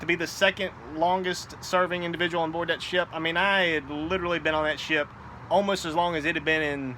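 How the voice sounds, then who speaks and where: Loud and very fast, a man talks in a high pitch with a bright, sharp tone. His intonation is flat and monotone. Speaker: cigar and gaming vlogger, navy veteran. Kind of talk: casual chat. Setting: outdoors on apartment patio.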